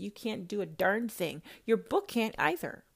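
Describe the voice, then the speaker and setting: Loud and animated, a woman speaks at a fairly slow pace in a very clean recording with a silent background. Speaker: self-styled prophetess podcaster. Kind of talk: religious rant monologue.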